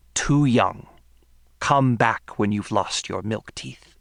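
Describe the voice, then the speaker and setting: This is a put-on character voice, low-pitched and raspy. It moves at a very slow pace. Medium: read story. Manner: menacing, dismissive.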